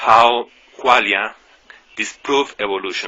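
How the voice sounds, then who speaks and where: Very slowly, a man speaks with a non-native accent and ordinary pitch variation. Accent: non-native English speaker. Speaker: YouTuber discussing philosophy. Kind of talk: video monologue. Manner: halting, many fillers.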